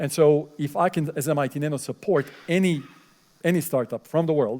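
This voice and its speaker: A man with a non-native accent talks at a fairly quick pace. His pitch is fairly high, with ordinary variation. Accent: foreign accent, fluent English. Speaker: professor. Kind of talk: lecture Q&A. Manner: hesitant, many fillers.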